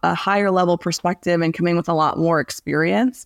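A woman's unremarkable speaking voice at a moderate pace, with ordinary pitch variation and a dry, close sound with no echo. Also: very clean recording, silent background. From Southeast Michigan. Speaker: business consultant. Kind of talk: podcast interview.

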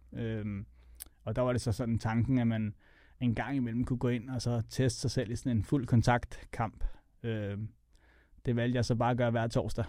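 A man's medium-pitched, dark, mellow voice in a flat monotone, at a moderate pace with long, frequent pauses, on a very clean recording with a silent background. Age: 40s. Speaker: MMA fighter and coach. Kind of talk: casual interview chat.

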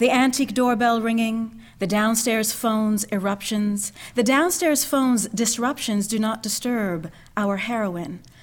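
A woman with a fairly high pitch and ordinary pitch variation talks at a fairly slow pace in an ordinary speaking voice. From Canada, Ontario. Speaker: poet and actress. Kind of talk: poetry reading.

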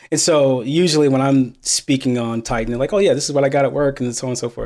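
A man with a normal speaking voice talks at a fairly quick pace in a fairly high pitch with ordinary pitch variation. The recording is very clean, with a silent background. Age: 30s. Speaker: programmer and mentor, military veteran. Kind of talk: casual interview.

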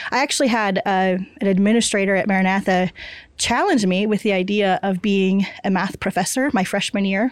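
With an American accent, a woman talks at a fairly quick pace and medium pitch, with ordinary pitch variation and very even loudness. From Kansas. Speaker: mathematics professor. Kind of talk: interview conversation. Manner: halting, with frequent repeated words.

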